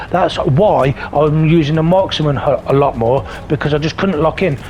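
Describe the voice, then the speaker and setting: A man with a high-pitched voice speaks in a British accent at a moderate pace. Noticeable background noise sits behind him. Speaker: gaming YouTuber. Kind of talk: gameplay commentary voiceover. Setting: recorded voiceover over gameplay. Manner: sometimes stutters, halting; casual, animated.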